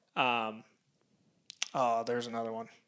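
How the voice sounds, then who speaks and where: A man talks with an American accent. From Cedar Rapids, Iowa. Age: 20s. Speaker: podcast co-host. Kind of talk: casual chat.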